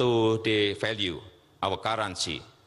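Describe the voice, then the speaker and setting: A man's medium-pitched voice with an Indonesian accent at a fairly slow pace. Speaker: head of state. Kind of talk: formal speech at international forum.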